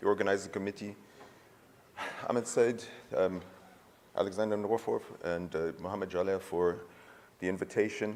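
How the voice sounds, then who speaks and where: A man with an American accent, a fairly low pitch, fairly even intonation and a fairly quick pace broken by long, frequent pauses. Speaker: urologist, conference speaker. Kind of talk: conference lecture.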